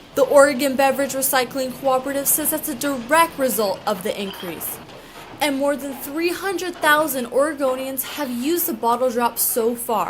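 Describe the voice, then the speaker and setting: Ordinary pitch variation and a moderate pace over noticeable background noise. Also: woman, high pitch for a woman. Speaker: news reporter. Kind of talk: TV news report.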